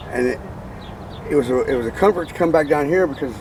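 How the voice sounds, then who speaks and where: Noticeable background noise beneath a male voice of ordinary pitch variation. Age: 60s. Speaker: unhoused person. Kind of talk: casual chat. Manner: halting, repetitive.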